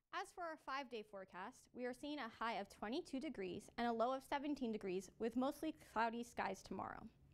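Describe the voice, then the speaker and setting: Someone with a Canadian accent speaks at a moderate pace with lively intonation. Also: woman, big swings in loudness. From Canada, Toronto area. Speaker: student news anchor. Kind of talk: news reading and street interview. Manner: friendly, upbeat interviewer. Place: studio.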